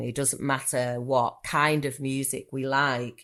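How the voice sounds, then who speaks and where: In a very clean recording with a silent background, a woman speaks with a very deep, low pitch. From northern England, Manchester. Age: 40s. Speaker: therapist. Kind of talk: podcast interview.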